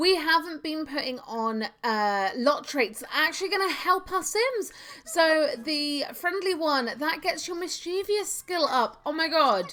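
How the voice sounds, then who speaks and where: A woman speaks in a raised, projected voice at an extremely high pitch. Her pitch swings very widely. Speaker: gaming youtuber. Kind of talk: let's play commentary. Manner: loud; hesitant, many fillers.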